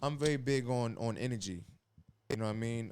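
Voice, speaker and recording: A man with a New York accent talks at a fairly quick pace, with ordinary pitch variation. The recording is very clean, with a silent background. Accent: New York City. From New York, Brooklyn. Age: 30s. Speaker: former college basketball player and school staff. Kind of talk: podcast interview.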